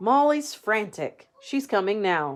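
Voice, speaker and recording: In a put-on character voice, a woman speaks at a fairly slow pace with a fairly high pitch. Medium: read story. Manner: eager, animated.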